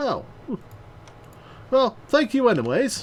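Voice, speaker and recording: Over clear background noise, someone does a put-on character voice at a fairly high pitch. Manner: silly.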